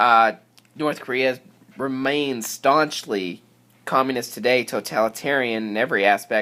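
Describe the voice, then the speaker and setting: This man's voice sits at a medium pitch. Its tone is bright and sharp. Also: ordinary pitch variation, moderate pace. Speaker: teacher. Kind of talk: lecture.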